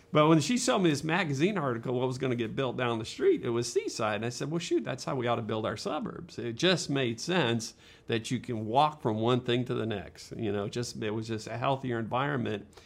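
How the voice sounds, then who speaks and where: In a plain, everyday voice, a man talks at a fairly quick pace and medium pitch with ordinary pitch variation and hardly any pauses. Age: 60s. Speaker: architect and urban planner. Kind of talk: casual interview.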